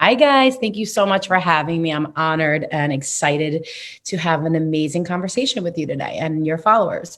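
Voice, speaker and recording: A woman with a New York accent speaks at a fairly quick pace. Her fairly low voice carries lively intonation. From New York City, Queens. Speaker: numerologist. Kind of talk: interview.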